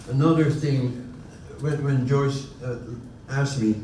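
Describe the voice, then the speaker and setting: A man with a Dutch accent speaks over noticeable background noise with audible room echo. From Netherlands, Utrecht. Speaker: honorary consul, panelist. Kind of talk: panel discussion. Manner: halting, many fillers and restarts.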